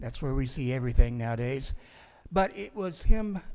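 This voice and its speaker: Moderate-paced speech from a man. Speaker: museum historian. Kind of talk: conference talk. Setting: stage with audience. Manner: projecting loudly.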